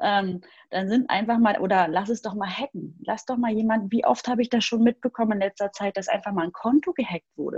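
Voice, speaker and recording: Her fairly high voice is somewhat breathy, with ordinary pitch variation and a fairly quick pace. The woman's sound is dry and close, with no echo. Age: 30s. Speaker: email marketing expert. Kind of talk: casual interview.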